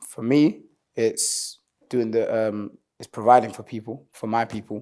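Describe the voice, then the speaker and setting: A dark, mellow tone at a moderate pace, with monotone, flat intonation and big swings in loudness. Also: man, medium pitch for a man. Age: 20s. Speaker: singer and rapper. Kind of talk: interview. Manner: casual, relaxed.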